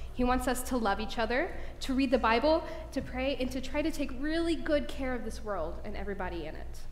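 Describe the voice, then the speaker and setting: Light background noise and audible room echo surround a woman who speaks fairly quickly at a high pitch with ordinary pitch variation. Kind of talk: children's sermon. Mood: gentle, warm. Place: church. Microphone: camera far.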